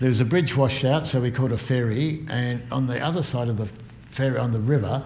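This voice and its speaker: A man's unremarkable speaking voice at a medium pitch and a fairly quick pace. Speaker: bicycle tourer giving an oral history talk. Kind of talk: oral history talk about cycling trips. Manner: conversational, storytelling.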